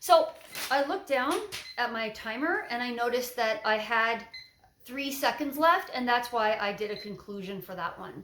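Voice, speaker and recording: Audible room echo surrounds a woman with a high pitch who speaks at a moderate pace with lively intonation and big swings in loudness. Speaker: TOEFL teacher. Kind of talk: tutorial with sample answers.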